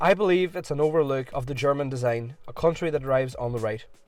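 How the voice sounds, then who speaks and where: Over music in the background, a man talks at a fairly quick pace in a fairly high pitch with ordinary pitch variation. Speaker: car reviewer. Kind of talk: car review narration.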